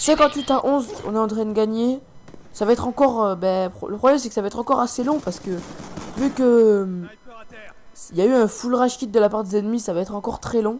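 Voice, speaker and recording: A man with an extremely high pitch talks at a very fast pace, broken by long, frequent pauses, with ordinary pitch variation and noticeable background noise. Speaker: gaming commentator. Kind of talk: gameplay commentary. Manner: soft-spoken; halting.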